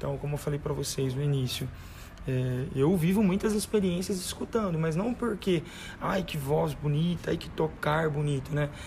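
A man speaks in an ordinary speaking voice with ordinary pitch variation. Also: fairly high pitch for a man, moderate pace. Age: 20s. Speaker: church music minister. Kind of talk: casual chat.

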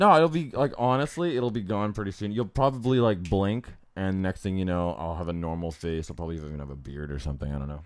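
A man's very deep, low voice, animated in tone, with very wide pitch swings, a very fast pace and hardly any pauses. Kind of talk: casual chat, joking banter. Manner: animated, joking.

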